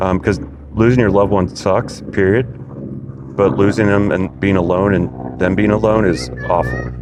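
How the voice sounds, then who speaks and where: A man's very deep, low voice at very even loudness, with noticeable background noise. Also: lively intonation, moderate pace. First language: not English. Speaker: physician podcast host. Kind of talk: interview.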